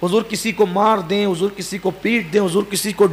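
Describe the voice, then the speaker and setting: There is noticeable background noise here. A man speaks with a high pitch. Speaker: Islamic preacher. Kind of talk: religious sermon (bayan).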